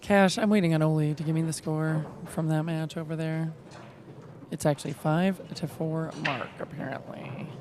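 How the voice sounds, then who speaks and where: Over noticeable background noise, a woman talks at a very deep, low pitch with fairly even intonation. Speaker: pool stream commentator. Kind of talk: casual commentary chat. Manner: loud.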